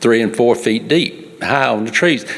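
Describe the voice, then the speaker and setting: With a Mississippi accent, a man talks at a medium pitch with ordinary pitch variation against noticeable background noise. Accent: US South, Mississippi. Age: 70s. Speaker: farmer. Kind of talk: public comment. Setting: public meeting. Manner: animated.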